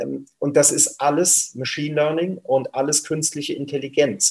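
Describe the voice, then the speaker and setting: Somewhat breathy and fairly high-pitched, a man talks at a fairly slow pace. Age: 50s. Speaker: company CEO. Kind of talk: interview.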